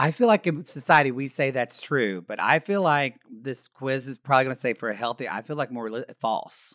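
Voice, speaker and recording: Speaking fairly quickly with hardly any pauses, a man with an American accent uses lively intonation at a medium pitch, recorded very cleanly with a silent background and a dry, close sound with no echo. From Oklahoma, US. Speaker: podcast co-host. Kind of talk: casual chat. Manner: animated.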